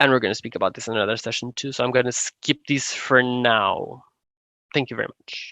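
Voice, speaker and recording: A man speaks at a medium pitch in a bright, sharp tone, with fairly even intonation and big swings in loudness. The sound is dry and close with no echo, against a quiet background. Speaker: public health expert presenter. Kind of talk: online training presentation. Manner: fast.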